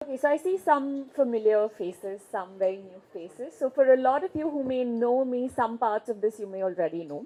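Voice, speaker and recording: A woman with an Indian accent talks at a fairly quick pace, hardly pausing at all. Her high voice has lively intonation and big swings in loudness. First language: Marwari. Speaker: leadership and gender consultant. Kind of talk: keynote speech. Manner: conversational storytelling.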